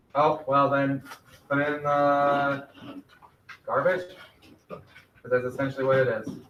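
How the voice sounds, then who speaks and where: Amid audible room echo, a man with a fairly high pitch speaks in a monotone, flat way with long, frequent pauses. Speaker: middle school math teacher. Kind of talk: classroom lesson. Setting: classroom with virtual students. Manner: loud.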